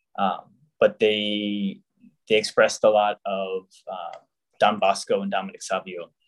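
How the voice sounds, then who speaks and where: Speaking at a fairly slow pace with an American accent, a man leaves long, frequent pauses while his loudness swings widely. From US South, Jacksonville, Florida. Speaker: religious brother, deacon candidate. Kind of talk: interview.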